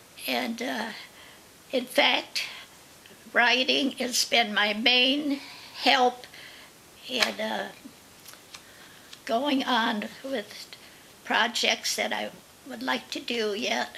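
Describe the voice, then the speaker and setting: A woman at a very slow pace with long, frequent pauses, fairly high pitch, ordinary pitch variation and noticeable background noise. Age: 90s. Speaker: senior storyteller. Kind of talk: reading aloud; casual interview talk. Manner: halting.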